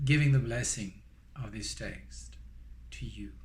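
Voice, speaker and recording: A man with a strong French accent at a very slow pace, with audible room echo. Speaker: Buddhist dharma teacher. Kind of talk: guided meditation; dharma teaching. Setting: recorded online teaching. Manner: hesitant, many fillers.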